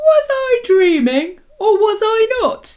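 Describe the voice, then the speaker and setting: Putting on a squeaky character voice, a woman drawls at a very slow pace in an extremely high pitch. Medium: read story. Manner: drawling, yawning.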